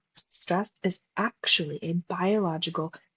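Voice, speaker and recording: A somewhat breathy woman's voice. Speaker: podcast host and psychologist coach. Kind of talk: solo podcast talk. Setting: recording live at a retreat. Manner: animated.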